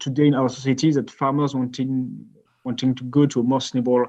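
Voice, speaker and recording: A man with a French accent talks at a fairly quick pace, his medium pitch held in a monotone, flat intonation. The background is quiet. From France. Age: 20s. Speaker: company co-founder. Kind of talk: podcast interview.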